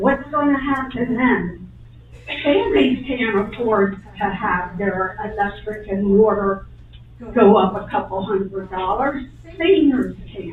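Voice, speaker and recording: Amid noticeable background noise and audible room echo, a woman speaks at a very slow pace with lively intonation. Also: medium pitch for a woman. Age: 80s+. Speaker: resident at public comment. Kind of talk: public comment at township meeting. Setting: township board meeting with audience.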